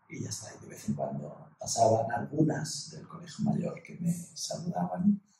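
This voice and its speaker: A man's words come at a moderate pace, with audible room echo around them. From Ibiza, Spain. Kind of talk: casual interview chat. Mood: cheerful, animated. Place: meeting room.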